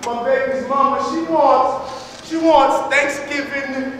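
A man with an extremely high pitch and an intense tone talks at a fairly slow pace over noticeable background noise. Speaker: poet, activist, motivational speaker; keynote speaker at a high school. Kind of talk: spoken word poetry performance. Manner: rhythmic, intense.

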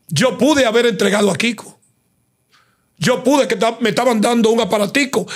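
Against a quiet background, a high-pitched man speaks fairly quickly with very even loudness. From Dominican Republic. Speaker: digital creator and commentator; digital creator, commentator. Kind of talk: interview. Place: studio. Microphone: studio mic.

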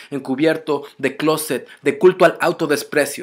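Over a quiet background, a man with a fairly high pitch speaks in an angry, intense tone with fairly even intonation. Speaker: spoken word poet. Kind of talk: spoken word poem, defiant political protest verse. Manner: intense, rhythmic, forceful; angry, accusatory, urgent. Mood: angry, defiant. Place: home room. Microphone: webcam.

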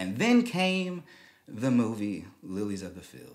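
Very slow speech over a quiet background. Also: man. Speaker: show host. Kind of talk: commentary. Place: studio. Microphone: studio mic.

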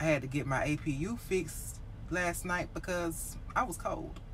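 Light background noise is present. A woman talks at a fairly slow pace. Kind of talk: casual vlog chat. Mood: frustrated venting. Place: car. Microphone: phone near.

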